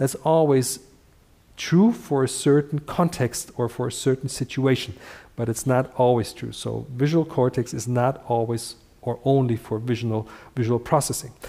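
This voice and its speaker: In a very clean recording with a silent background, a man of medium pitch speaks at a moderate pace with a dark, mellow tone and fairly even intonation. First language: Dutch. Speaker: functional neurology teacher. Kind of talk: live lecture. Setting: livestream. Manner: halting, many fillers.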